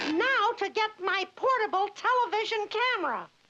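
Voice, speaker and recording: An extremely high-pitched, cartoonish character voice at a moderate pace. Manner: cheery, upbeat.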